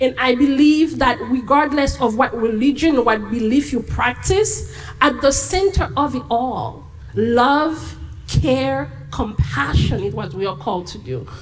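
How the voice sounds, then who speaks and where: A woman with a non-native accent at a fairly slow pace, amid noticeable background noise. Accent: foreign. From Haiti. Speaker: immigrant rights advocate. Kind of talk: panel discussion.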